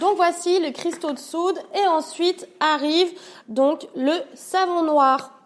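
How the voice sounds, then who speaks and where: Over noticeable background noise, a woman with extremely high pitch speaks at a very slow pace with fairly even intonation. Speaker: home cleaning youtuber. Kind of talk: tutorial. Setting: at her parents' home. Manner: stutter, many hesitations; casual, hesitant.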